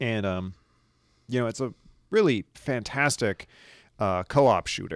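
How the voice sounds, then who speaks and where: The recording is very clean, with a silent background and a dry, close sound with no echo. A man speaks at medium pitch with ordinary variation, at a fairly slow pace with long, frequent pauses. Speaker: podcast host. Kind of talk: casual chat.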